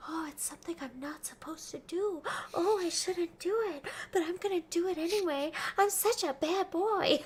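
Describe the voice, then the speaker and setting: A soft-spoken, breathy put-on character voice, whispering at a moderate pace. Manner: whispering, teasing.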